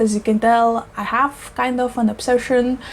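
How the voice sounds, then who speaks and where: A woman speaks at a moderate pace in a high voice, with noticeable background noise around her. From Eastern Europe. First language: not English. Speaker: plant YouTuber. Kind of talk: casual vlog talk. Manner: animated.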